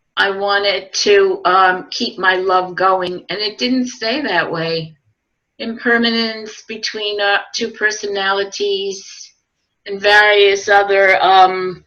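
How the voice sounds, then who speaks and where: Her tone is bright and sharp at a medium pitch. The woman speaks at a very slow pace with fairly even intonation. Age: 70s. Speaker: Buddhist practitioner sharing reflections. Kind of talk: personal testimony.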